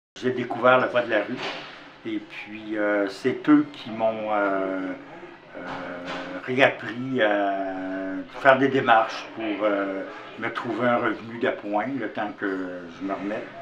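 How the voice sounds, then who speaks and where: A man speaks at a very slow pace with long, frequent pauses, a fairly low pitch and fairly even intonation. The recording has audible room echo and noticeable background noise. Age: 70s. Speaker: formerly homeless volunteer. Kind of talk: testimony.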